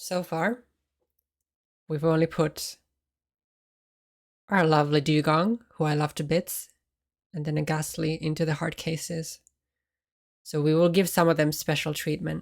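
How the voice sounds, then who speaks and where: Soft-spoken and at a fairly slow pace, the speaker leaves long, frequent pauses in a very clean recording with a silent background. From Finland. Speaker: ASMR streamer. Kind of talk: casual chat.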